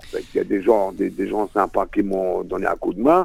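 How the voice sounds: A man speaks at a low pitch with a slightly mellow tone and vocal fry. His intonation is fairly even and his pace fairly quick.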